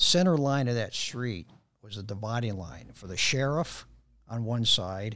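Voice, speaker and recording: The speaker has a Chicago accent and a bright, sharp tone, with ordinary pitch variation. The pace is fairly slow, and the recording is very clean with a silent background. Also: man. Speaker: jiu-jitsu practitioner. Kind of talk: casual chat. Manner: halting.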